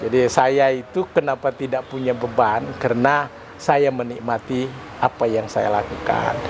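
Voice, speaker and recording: The speech moves at a fairly slow pace with fairly even intonation against noticeable background noise. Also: man, medium pitch for a man. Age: 70s. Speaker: retired stock exchange executive and investor. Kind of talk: interview.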